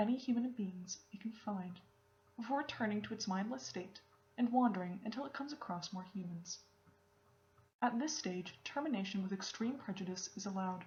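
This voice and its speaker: Soft-spoken and somewhat breathy, a woman talks at a medium pitch and fairly quick pace with lively intonation. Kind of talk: ASMR reading of a wiki article.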